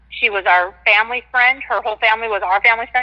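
With an American accent and fairly high pitch, a woman talks in an ordinary speaking voice with fairly even intonation. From Washington State. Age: 50s. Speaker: caller. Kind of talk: call-in radio chat.

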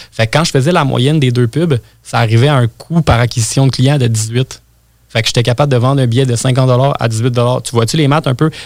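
A man with an ordinary speaking voice talks at a fairly quick pace, his medium pitch following a fairly even intonation at a very even loudness. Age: 20s. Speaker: web marketing entrepreneur. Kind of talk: interview. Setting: studio.

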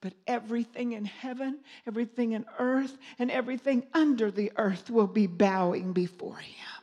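This woman has an unremarkable speaking voice, pitched fairly high with ordinary variation. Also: moderate pace, big swings in loudness. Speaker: minister and singer. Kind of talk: sermon. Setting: church.

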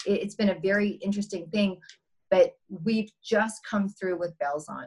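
At a fairly slow pace, a woman speaks in a somewhat breathy voice of medium pitch. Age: 50s. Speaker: entrepreneur. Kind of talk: interview.

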